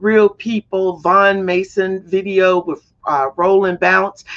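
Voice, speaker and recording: With an American accent, a woman talks in an animated tone at a medium pitch. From US South. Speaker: talk show host. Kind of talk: interview show. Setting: studio.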